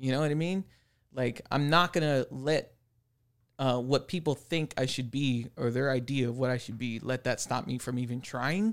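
Here a man with a normal speaking voice and medium pitch talks at a moderate pace with ordinary pitch variation on a very clean recording with a silent background. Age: 30s. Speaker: tattoo artist. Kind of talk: casual chat.

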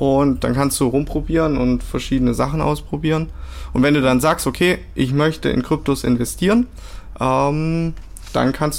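Fairly even intonation and a moderate pace from a man pitched fairly high. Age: 20s. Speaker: crypto product manager. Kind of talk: interview. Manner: hesitant with many fillers.

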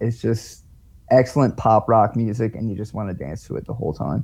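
At a moderate pace, a man talks in a medium pitch with a dark, mellow tone and fairly even intonation. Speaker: local musician. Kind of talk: casual interview.

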